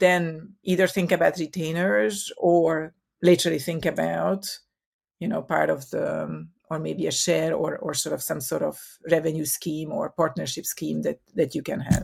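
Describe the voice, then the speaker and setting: The speaker goes at a fairly slow pace in a Hungarian accent. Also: woman. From Hungary. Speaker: marketing consultant. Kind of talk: interview. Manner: hesitant, many fillers.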